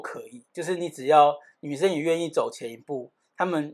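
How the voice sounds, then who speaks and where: The speaker has a Taiwanese accent and a fairly quick pace. The recording is very clean, with a silent background. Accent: Taiwanese Mandarin. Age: 30s. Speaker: podcast co-host. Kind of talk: casual chat.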